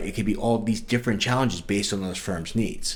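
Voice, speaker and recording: This man has a New York accent. His pitch is fairly low and his intonation fairly even. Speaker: sales director at a software company. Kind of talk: podcast interview.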